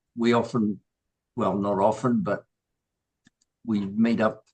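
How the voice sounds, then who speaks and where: With a New Zealand accent, a man talks at a very slow pace. His medium-pitched voice keeps fairly even intonation. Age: 70s. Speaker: new group member. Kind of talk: personal introduction. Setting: video call. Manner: halting.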